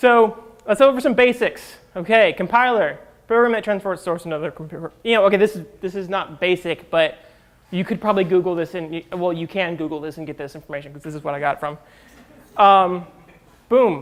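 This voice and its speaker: A man's high-pitched voice at a fairly quick pace, with ordinary pitch variation and big swings in loudness. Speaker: conference speaker, software developer. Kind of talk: tech talk to live audience. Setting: stage with audience. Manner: fast; casual, filler-heavy.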